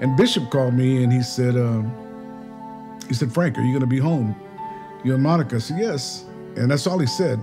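A man talking at a fairly quick pace over clear music in the background. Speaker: interviewee. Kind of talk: interview answer. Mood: reflective, warm. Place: home room.

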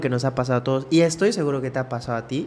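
A man speaks in a plain, everyday voice. His pitch is medium, with ordinary pitch variation. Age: 30s. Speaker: podcast host. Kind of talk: casual chat. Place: studio. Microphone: studio mic.

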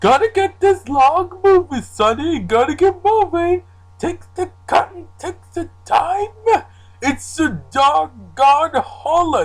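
The voice is extremely high in pitch and moves at a fairly slow pace. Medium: fan dub.

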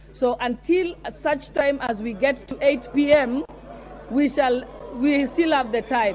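Over light background noise, a woman speaks at a very slow pace. Her high pitch shows ordinary variation. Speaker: presiding speaker of parliament. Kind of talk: formal procedural ruling. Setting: parliament chamber. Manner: calm, firm, formal. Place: hall. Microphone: podium.

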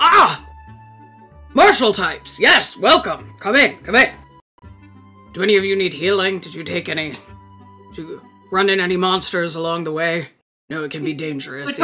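A female-sounding voice puts on a character voice at a middle pitch, with faint music in the background. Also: moderate pace. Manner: hearty, eager, patronizing.

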